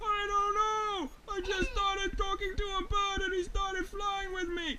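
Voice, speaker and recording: In a put-on character voice of extremely high pitch, the speaker goes at a moderate pace over clear background noise. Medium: read story. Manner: excitable, scared.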